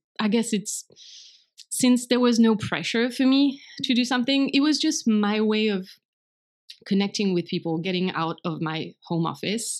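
The recording is very clean, with a silent background. Speech moves at a moderate pace, broken by long, frequent pauses. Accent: French. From France. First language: French. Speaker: blogger and translator. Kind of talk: casual interview conversation.

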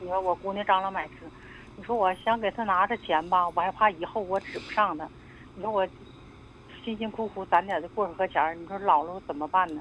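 Keeping a fairly quick pace despite long, frequent pauses, a woman speaks at medium pitch with fairly even intonation. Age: 50s. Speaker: caller. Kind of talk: phone-in advice call.

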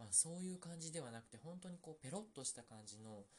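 Soft-spoken and somewhat breathy, the voice moves at a fairly quick pace with very wide pitch swings. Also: man. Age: 40s. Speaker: podcast host. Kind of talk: casual solo chat.

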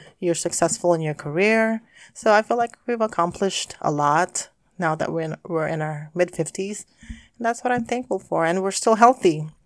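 A normal speaking voice from a woman, fairly low in pitch with ordinary pitch variation at a moderate pace, on a very clean recording with a silent background. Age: 50s. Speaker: podcast host's mother, guest. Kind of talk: casual chat.

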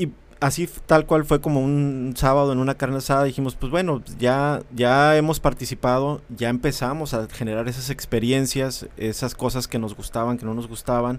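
With a plain, everyday voice, a man talks at a fairly quick pace and with fairly even intonation. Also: very clean recording, silent background. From Mexicali, Baja California, Mexico. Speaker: civic association director. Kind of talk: casual interview.

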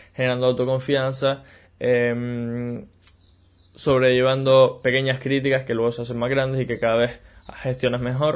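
A man at medium pitch and moderate pace over a quiet background. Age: 20s. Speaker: podcast host and business mentor. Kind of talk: solo podcast monologue. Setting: video recording for YouTube. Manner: animated, with frequent repetitions.

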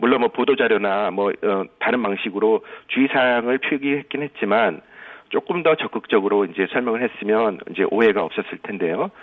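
Over noticeable background noise, a man at a medium pitch talks at a fairly quick pace with lively intonation. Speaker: statistics professor. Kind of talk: phone interview. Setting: phone call. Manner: halting.

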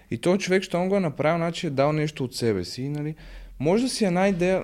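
A man talks at a fairly quick pace in a plain, everyday voice. His intonation is lively. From Bulgaria, Sofia. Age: 20s. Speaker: social media content creator and psychology student. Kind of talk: casual podcast interview.

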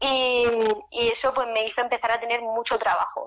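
This woman speaks at a fairly quick pace in a fairly high pitch. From Spain, Murcia region (small town). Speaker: makeup artist. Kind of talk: interview.

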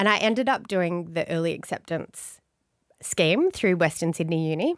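A fairly low-voiced woman with an Australian accent at a moderate pace. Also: very clean recording, silent background. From Australia, Blue Mountains (NSW). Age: 40s. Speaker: family lawyer. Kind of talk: casual interview chat. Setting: studio with microphones and headphones. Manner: bubbly.

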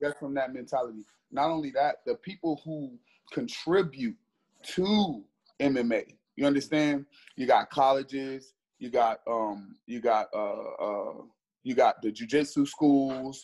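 A man with an American accent and a normal speaking voice, fairly high in pitch, with ordinary pitch variation and a fairly slow pace. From US Midwest, Cleveland, Ohio. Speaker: bare knuckle fighter. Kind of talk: interview.

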